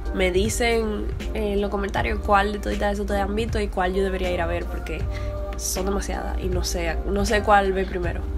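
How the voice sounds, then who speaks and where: A woman with a very deep, low voice speaks at a moderate pace in a monotone, flat intonation, with clear music in the background. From Dominican Republic. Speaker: filmmaker, vlogger. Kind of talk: casual talk to camera. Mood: nervous, playful. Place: home room.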